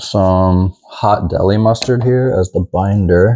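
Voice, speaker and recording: Relaxed and dark, mellow in tone, a man with an American accent speaks at a very slow pace with fairly even intonation and very even loudness, in a dry, close sound with no echo. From Texas. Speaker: home cook. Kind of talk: cooking tutorial. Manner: casual, relaxed.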